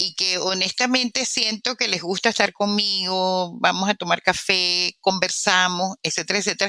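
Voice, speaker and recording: A woman speaks with a bright, sharp tone. The sound is dry and close, with no echo. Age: 70s. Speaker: immunologist and author. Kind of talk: interview.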